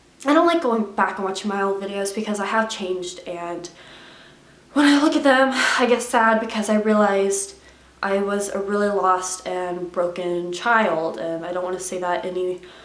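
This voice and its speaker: Recorded with audible room echo and noticeable background noise, a woman speaks at a moderate pace with a medium pitch and ordinary pitch variation. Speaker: YouTuber. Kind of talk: unscripted confessional vlog. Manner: stutters, stumbles over words.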